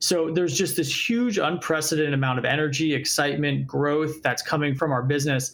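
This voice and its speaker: With hardly any pauses, a man talks at a fairly quick pace in a fairly high voice, with ordinary pitch variation, very even loudness and noticeable background noise. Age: 30s. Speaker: startup founder and CEO. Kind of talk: interview.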